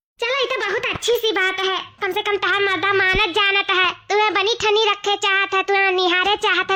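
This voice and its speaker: A woman's cartoonish character voice at an extremely high pitch. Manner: chatty, homely.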